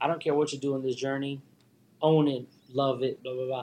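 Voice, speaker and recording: A man speaks in a Philadelphia accent. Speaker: guest. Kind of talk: casual chat. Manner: animated.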